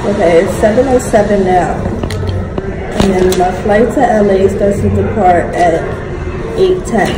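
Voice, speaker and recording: Over loud background noise, a woman talks at a moderate pace with long, frequent pauses. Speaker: travel vlogger. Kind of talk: casual vlog chat. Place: station. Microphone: phone near.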